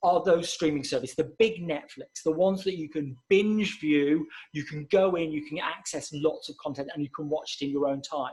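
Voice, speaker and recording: Pitch moves up and down in an ordinary way. The speaker has a plain, everyday voice. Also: man. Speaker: marketing consultant and webinar presenter. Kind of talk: webinar presentation.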